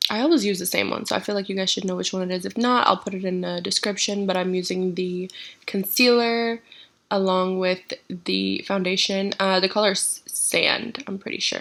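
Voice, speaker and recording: The speaker is a woman with a plain, everyday voice at a medium pitch. She keeps a moderate pace and fairly even intonation. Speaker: beauty vlogger. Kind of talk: casual to-camera chat; makeup tutorial voiceover. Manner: casual, chatty.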